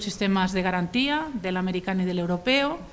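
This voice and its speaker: A woman with a Spanish accent at a moderate pace, her pitch varying in an ordinary way. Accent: Spanish (Spain). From Spain. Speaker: law professor. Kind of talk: conference lecture. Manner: formal, with frequent hesitations.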